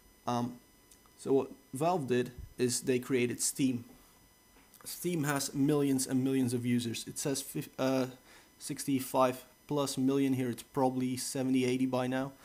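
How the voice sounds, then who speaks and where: Speaking with a Dutch accent, a man at medium pitch talks at a fairly slow pace in a monotone, flat intonation, with long, frequent pauses. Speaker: tech reviewer. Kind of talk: tutorial. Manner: casual, hesitant with many fillers.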